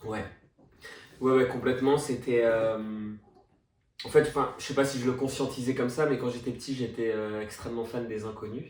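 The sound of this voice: A man talks at a fairly quick pace with a slightly mellow tone. His intonation is fairly even, and audible room echo surrounds his voice. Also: medium pitch for a man.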